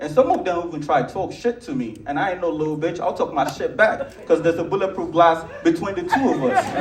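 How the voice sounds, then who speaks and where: In a Nigerian accent, a man with a high voice talks very fast with hardly any pauses, an animated tone and lively intonation, amid noticeable background noise and audible room echo. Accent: African (Nigerian). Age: young. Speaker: comedian. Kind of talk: stand-up. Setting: stage with audience.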